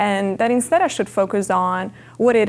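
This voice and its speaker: The recording is very clean, with a silent background. A woman with an Italian accent speaks at a medium pitch and a moderate pace. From Italy, Milan. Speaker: MBA student. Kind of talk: personal testimony interview.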